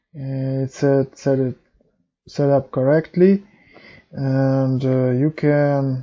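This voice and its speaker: A man's very slow voice, medium in pitch, with a dark, mellow tone. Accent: non-native. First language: not English. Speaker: programming tutorial youtuber. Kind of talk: tutorial. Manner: halting.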